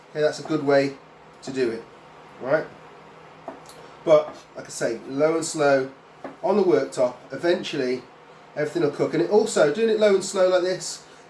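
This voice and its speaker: Ordinary pitch variation at a moderate pace, with long, frequent pauses and noticeable background noise. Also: man, fairly high pitch for a man. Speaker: cooking instructor. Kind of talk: cooking tutorial. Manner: casual.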